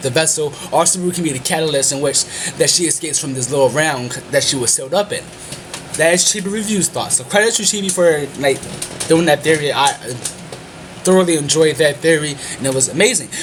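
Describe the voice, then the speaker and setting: Very fast pace broken by long, frequent pauses, ordinary pitch variation, with music in the background. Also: man, fairly high pitch for a man. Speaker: anime reviewer. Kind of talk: video review monologue.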